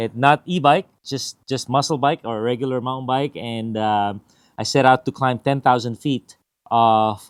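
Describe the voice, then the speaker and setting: Recorded very clean with a silent background and dry, close sound with no echo, a man uses a normal speaking voice at a medium pitch with fairly even intonation. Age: 50s. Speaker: RC product reviewer, YouTuber. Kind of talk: casual vlog update. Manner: casual, with many fillers.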